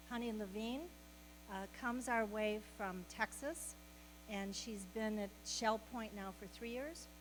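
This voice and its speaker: Audible room echo surrounds a woman as she talks. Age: 70s. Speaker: health program facilitator. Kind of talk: welcome talk and introduction. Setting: meeting room with audience.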